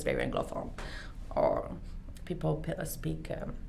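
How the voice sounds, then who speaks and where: In a Quebec accent, a woman talks at a moderate pace, with audible room echo and noticeable background noise. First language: French. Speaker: beauty clinic owner. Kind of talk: interview. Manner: halting.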